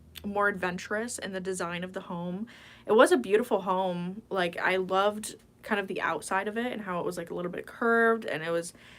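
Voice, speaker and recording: Fairly quick speech from a woman with medium pitch, fairly even intonation, and an unremarkable speaking voice. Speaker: ASMR streamer. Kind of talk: casual livestream chatting to viewers.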